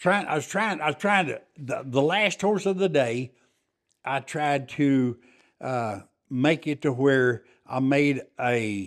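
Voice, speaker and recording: A man with a West Texas accent speaks at a fairly slow pace and fairly high pitch in a very clean recording with a silent background. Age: 70s. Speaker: farrier and war veteran. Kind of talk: interview. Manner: halting.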